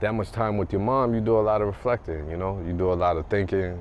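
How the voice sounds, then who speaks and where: A fairly low-pitched man at a fairly quick pace, with ordinary pitch variation and noticeable background noise. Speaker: podcast co-host. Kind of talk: casual chat. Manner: soft-spoken. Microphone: too quiet, low level.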